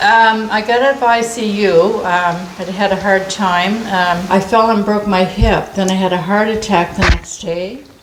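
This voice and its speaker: Noticeable background noise and audible room echo surround the recording. A woman speaks with fairly even intonation. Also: medium pitch for a woman, moderate pace. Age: 70s. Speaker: senior citizen granted a wish. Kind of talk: casual interview. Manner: halting.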